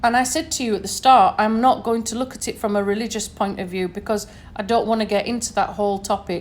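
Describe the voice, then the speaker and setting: Speaking with a northern English accent, a woman talks at a fairly quick pace and a fairly high pitch with ordinary pitch variation. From northern England, Sheffield. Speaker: podcaster. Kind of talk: solo podcast monologue. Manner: conversational, many fillers.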